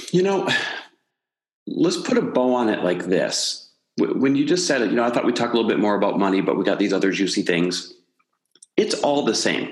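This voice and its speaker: A man with an American accent at a fairly quick pace, with very even loudness, long, frequent pauses and audible room echo. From US Midwest. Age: 40s. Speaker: entrepreneur and podcast host. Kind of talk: interview conversation.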